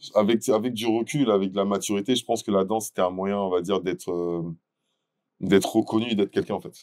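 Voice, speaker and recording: Fairly quick, fairly low-pitched male speech with ordinary pitch variation. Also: dry, close sound with no echo. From France, Meaux (Seine-et-Marne, Paris region). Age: 30s. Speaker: dancer and event entrepreneur. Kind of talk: interview. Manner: casual, with frequent hesitations.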